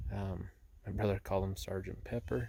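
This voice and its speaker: With an American accent, a man speaks at a fairly low pitch with vocal fry. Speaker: hunter / outdoor vlogger. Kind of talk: casual vlog narration. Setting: outdoors. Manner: hesitant, many fillers; monotone.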